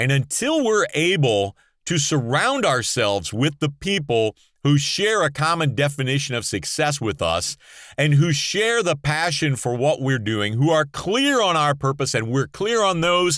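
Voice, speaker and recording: A man speaks in an animated tone at a fairly high pitch with very wide pitch swings and a fairly slow pace. His loudness stays very even on a very clean recording with a silent background. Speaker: motivational speaker and podcaster. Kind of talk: motivational monologue. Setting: podcast sound booth.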